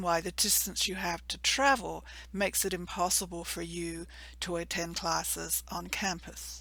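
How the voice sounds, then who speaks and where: A woman with a slight English accent at a fairly slow pace. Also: very clean recording, silent background. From England. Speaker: university program coordinator. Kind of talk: informational presentation. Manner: measured, formal.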